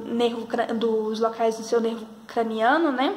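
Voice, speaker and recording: A woman speaks at a high pitch and a fairly slow pace in a monotone, flat way. Noticeable background noise and audible room echo surround her. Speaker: health sciences student or educator. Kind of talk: tutorial.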